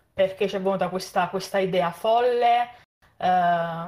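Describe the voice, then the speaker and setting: Speaking fairly slowly, a woman holds a medium pitch that shifts in an ordinary way. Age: 20s. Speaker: podcast host. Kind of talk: casual chat. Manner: halting.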